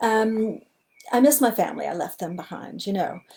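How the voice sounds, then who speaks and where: A woman with a Southern US accent has a dark, mellow tone and sounds somewhat breathy. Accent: American Southern. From US Deep South. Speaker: illustrator. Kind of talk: live talk to online audience. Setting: livestream.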